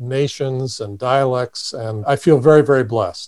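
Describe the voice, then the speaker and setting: A man's medium-pitched voice with an American accent, fairly even intonation and a fairly slow pace, in a very clean recording with a silent background. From US Midwest, Indiana. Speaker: economist and faith foundation chairman. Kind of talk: casual interview.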